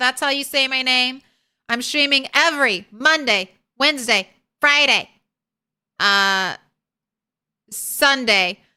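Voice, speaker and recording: A woman speaks very slowly in a high, bright, sharp voice that is raised and projected. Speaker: video game streamer. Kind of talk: casual live stream outro. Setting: home, live stream with cats nearby. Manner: theatrical, like a circus ringleader; animated.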